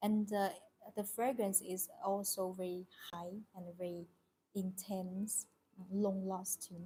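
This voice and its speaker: A woman with a Chinese accent speaks very slowly at medium pitch, with long, frequent pauses. Her voice is somewhat breathy and dark and mellow in tone, her intonation monotone and flat. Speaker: tea seller. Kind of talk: live stream product presentation. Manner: halting, many fillers.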